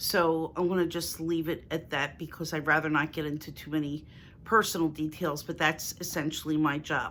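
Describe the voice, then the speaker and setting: A woman with a Philadelphia accent speaks at a moderate pace in a very deep, low voice with monotone, flat intonation. The recording is very clean with a silent background. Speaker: lifestyle YouTuber. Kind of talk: casual Q&A vlog.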